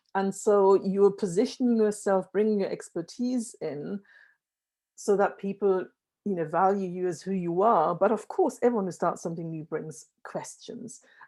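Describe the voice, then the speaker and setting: Heard on a very clean recording with a silent background, the voice has a dark, mellow tone and ordinary pitch variation. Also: woman, medium pitch for a woman, moderate pace. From Germany. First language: German. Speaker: workshop facilitator. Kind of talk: breakout group summary in a virtual event.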